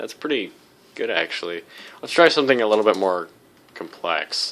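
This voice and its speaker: This man's voice has a bright, sharp tone and lively intonation. He speaks at a fairly quick pace. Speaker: tech YouTuber. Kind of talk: tutorial. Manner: casual.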